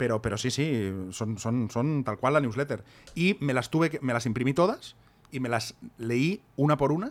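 With a normal speaking voice, a man talks at a moderate pace in a medium pitch, using ordinary pitch variation. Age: 40s. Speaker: podcast co-host and author. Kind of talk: casual chat.

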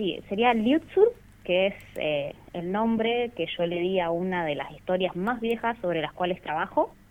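A woman's normal speaking voice at medium pitch, with lively intonation and a fairly slow pace. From Rawson, Chubut, Argentina. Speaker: comic artist. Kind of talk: radio interview.

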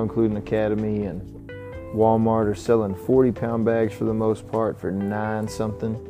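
With music in the background, a man with a Texan accent and a fairly low pitch speaks at a fairly slow pace. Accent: Southern, Texan. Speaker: podcast host and musician. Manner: speaks slowly, drags his words.

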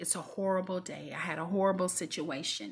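Over a quiet background, a woman talks in an animated tone. Her voice is somewhat breathy and sits at a medium pitch. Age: 40s. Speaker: devotional podcast host. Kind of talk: devotional talk.

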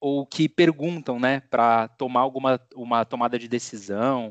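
Using an ordinary speaking voice, a man talks at a fairly slow pace with ordinary pitch variation. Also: quiet background. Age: 30s. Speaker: podcast host. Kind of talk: casual chat.

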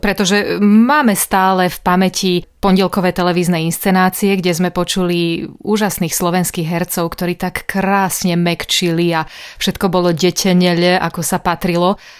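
This woman has an ordinary speaking voice, medium in pitch and fairly even in intonation, at a moderate pace. The recording is very clean, with a silent background. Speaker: radio host. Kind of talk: radio interview.

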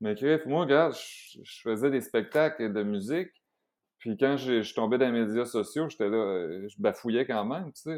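In a Quebec accent, a man speaks at a medium pitch and fairly slow pace with lively intonation on a very clean recording with a silent background. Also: big swings in loudness. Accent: Québécois French. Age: 40s. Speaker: vegan chef and entrepreneur. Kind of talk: casual chat.

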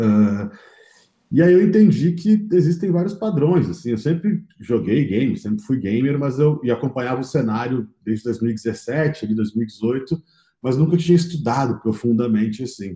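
This man has a dark, mellow tone, somewhat breathy, at medium pitch. He moves at a moderate pace with very wide pitch swings. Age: 30s. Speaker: entrepreneur, games company founder. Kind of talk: interview conversation.

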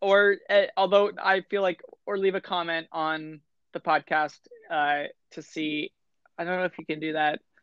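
A woman has an unremarkable speaking voice at a fairly low pitch. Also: fairly even intonation, moderate pace. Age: 20s. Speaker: podcast co-host. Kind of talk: casual chat.

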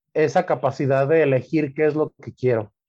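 This man talks at a fairly slow pace with a Mexican accent, his pitch fairly high for a man and his tone dark and mellow, against a quiet background. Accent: Mexican Spanish (Jalisco). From Guadalajara, Jalisco, Mexico. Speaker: butcher. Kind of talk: casual interview. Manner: halting, many repetitions.

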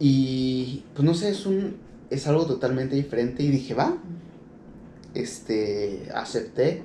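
A man with a Mexican accent speaks at a very slow pace with long, frequent pauses, his fairly high voice carrying lively intonation amid audible room echo. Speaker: podcast host. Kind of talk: casual monologue. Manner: halting, many fillers.

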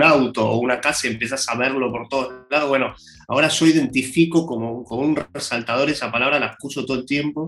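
A man talks in a normal speaking voice at a fairly quick pace. His pitch is medium, with ordinary variation. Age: 40s. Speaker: singer-songwriter. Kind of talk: casual interview. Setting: video call.

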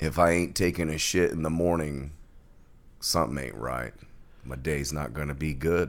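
In a put-on character voice, a man speaks at a moderate pace in a raspy, very deep, low register, with long, frequent pauses. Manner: smooth, bluesy.

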